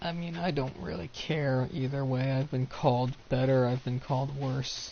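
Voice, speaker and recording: A man talks with ordinary pitch variation while noticeable background noise runs behind him. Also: medium pitch for a man, moderate pace. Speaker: streamer. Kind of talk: casual chat.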